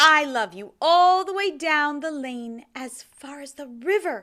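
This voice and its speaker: A woman speaks in a put-on character voice. Her pitch is high, and her pace is fairly slow. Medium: read story. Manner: eager, excited.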